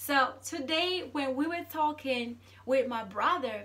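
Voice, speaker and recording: Very slowly, a woman projects a raised, high-pitched voice with a bright, sharp tone and ordinary pitch variation, with audible room echo. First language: Zulu. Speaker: vlogger. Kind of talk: casual monologue. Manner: halting, many repeated words.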